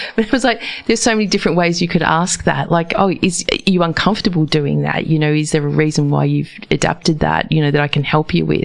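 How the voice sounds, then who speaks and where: A woman with a New Zealand accent talks at a very fast pace in a very deep, low pitch, with ordinary pitch variation and very even loudness. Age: 50s. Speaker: radio host. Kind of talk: casual interview.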